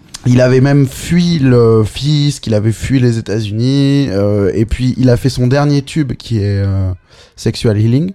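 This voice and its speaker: In a dark, mellow tone, the speech moves at a very slow pace with very even loudness and ordinary pitch variation. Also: man, medium pitch for a man. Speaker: podcast host. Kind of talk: casual chat.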